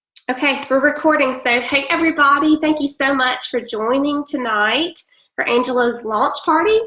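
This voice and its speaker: A woman's high, raised and projected voice in a strong Southern US accent, moderate pace, very even loudness, ordinary pitch variation, with noticeable background noise. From Mississippi. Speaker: direct-sales presenter. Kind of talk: online sales presentation. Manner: hesitant, many fillers.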